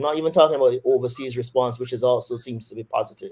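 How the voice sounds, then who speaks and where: A man's dark, mellow tone in a monotone, flat intonation. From Barbados. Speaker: surgeon. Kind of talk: interview. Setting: webinar video call.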